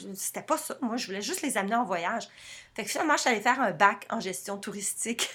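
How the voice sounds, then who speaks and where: Over a silent background in a very clean recording, a woman speaks in a bright, sharp tone. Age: 50s. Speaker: freelance writer and translator. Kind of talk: testimony. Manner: hesitant with repetitions.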